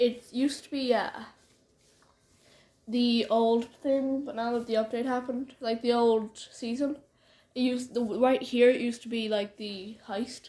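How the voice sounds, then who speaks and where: Pitched high, a woman speaks in a dark, mellow tone with monotone, flat intonation at a fairly slow pace, leaving long, frequent pauses. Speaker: gamer filming the screen. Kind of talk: casual vlog chat. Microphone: phone near.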